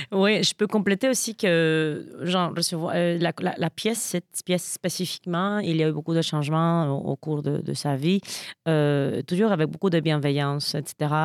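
In a very clean recording with a silent background and a dry, close sound with no echo, a woman with a Spanish accent speaks at a fairly slow pace, her pitch fairly low, with ordinary pitch variation and very even loudness. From Mexico, Veracruz. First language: Spanish (speaking French). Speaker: stage actor. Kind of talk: casual interview.

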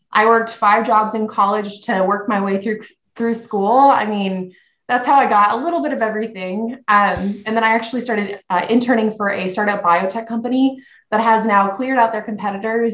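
Her pitch fairly high, a woman speaks with fairly even intonation. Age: 20s. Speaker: podcast guest, marketing executive. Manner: fast talker.

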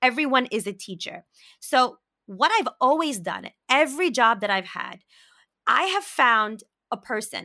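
At a moderate pace, a woman with an American accent speaks in a bright, sharp tone with lively intonation. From Brooklyn, New York. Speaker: podcast host. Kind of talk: casual interview.

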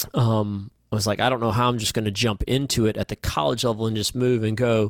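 The man speaks fairly quickly at a medium pitch with fairly even intonation, in a dry, close sound with no echo. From Alabama (Huntsville), US South. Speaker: sports agent and youth basketball program director. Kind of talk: casual interview chat. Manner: halting, many repetitions.

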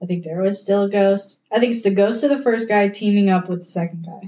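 At a fairly quick pace, a woman with a normal speaking voice talks at a medium pitch and fairly even intonation. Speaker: co-host. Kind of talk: casual chat.

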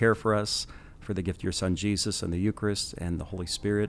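Speaking very fast with an American accent, a man with a fairly low voice comes through in a very clean recording with a silent background. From Kansas. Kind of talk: casual conversational interview. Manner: energetic, fast talker when preaching.

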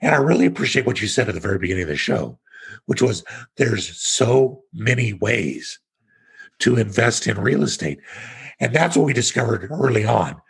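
A man with an American accent talks at a fairly quick pace and medium pitch, with vocal fry. His pitch swings very widely. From Kansas, US Midwest. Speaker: real estate investor, tax exchange expert. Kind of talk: podcast interview.

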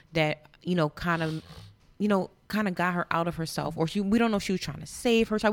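A woman with an American accent talks at a fairly quick pace in a medium pitch with ordinary variation, a plain, everyday voice. The recording is very clean, with a silent background. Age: 30s. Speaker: wine sponsor. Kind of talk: casual chat.

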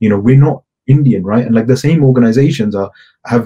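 With a British accent, a man speaks in a dark, mellow tone with ordinary pitch variation. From England. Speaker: activist. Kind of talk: interview. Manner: hesitant, many fillers.

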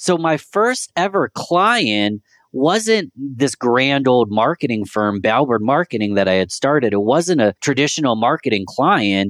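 Speaking in an American accent at a fairly slow pace with hardly any pauses, a medium-pitched man keeps his loudness very even while his pitch swings very widely, captured in a dry, close sound with no echo against a quiet background. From US Northeast, Rochester, New York. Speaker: marketing consultant. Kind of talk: interview. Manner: animated.

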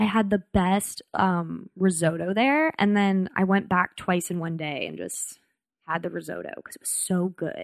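In an American accent, an unremarkable speaking voice moves at a fairly slow pace with ordinary pitch variation and big swings in loudness. The background is quiet. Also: woman, medium pitch for a woman. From United States. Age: 20s. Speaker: comedian. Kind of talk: casual chat. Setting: studio.

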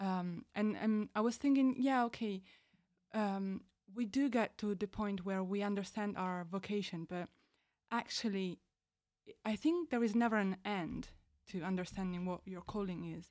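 Speaking in an Italian accent at medium pitch and a moderate pace, a woman uses ordinary pitch variation and long, frequent pauses. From Italy. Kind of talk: casual chat.

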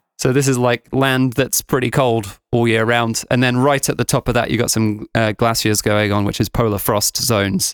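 With an English accent, a man talks at a moderate pace and medium pitch, with hardly any pauses, very even loudness, and a dry, close sound with no echo. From England. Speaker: podcast host, tour operator. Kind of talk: casual chat. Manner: animated.

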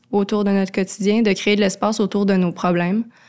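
A woman speaks at a medium pitch in a monotone with flat intonation. The recording is very clean, with a silent background. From Quebec, Laurentides. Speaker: cultural contributor. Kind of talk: casual interview. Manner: hesitant, many fillers.

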